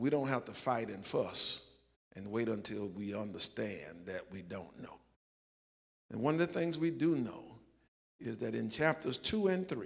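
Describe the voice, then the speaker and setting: A man at a moderate pace, with very wide pitch swings, big swings in loudness and long, frequent pauses, over a quiet background. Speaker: pastor. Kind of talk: sermon. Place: church.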